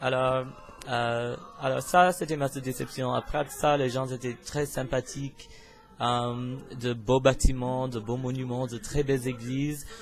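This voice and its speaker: Over music in the background, a man with an English accent speaks very slowly. His pitch is fairly high. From US, Pennsylvania. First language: English (speaking French). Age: 20s. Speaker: university student, vlogger. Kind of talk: casual self-introduction vlog. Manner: hesitant, many filler sounds.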